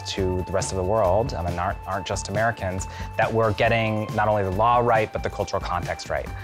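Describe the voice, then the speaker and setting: Clear music plays in the background. Over it, a man speaks at a fairly low pitch. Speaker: company lawyer. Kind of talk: interview answer. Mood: reflective, warm. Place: garden. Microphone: lapel.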